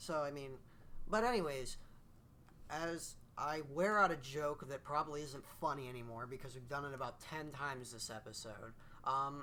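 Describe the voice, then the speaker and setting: Audible room echo surrounds a man whose bright, sharp voice has ordinary pitch variation and big swings in loudness. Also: fairly high pitch for a man, moderate pace. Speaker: video game reviewer and podcast host. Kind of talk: casual chat. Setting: recording in the same room as co-host. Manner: stutters often.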